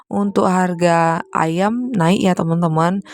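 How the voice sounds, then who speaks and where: The intonation is fairly even, and the sound is dry and close with no echo, though there is noticeable background noise. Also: woman. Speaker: homemaker vlogger. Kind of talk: voiceover vlog narration.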